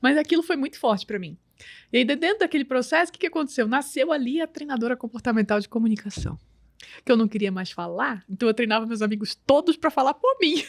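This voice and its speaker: With lively intonation, a woman with a high voice talks at a very fast pace, the sound dry and close with no echo. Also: very clean recording, silent background. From Brazil, grew up in Belém do Pará. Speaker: image and communication strategist. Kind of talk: casual interview.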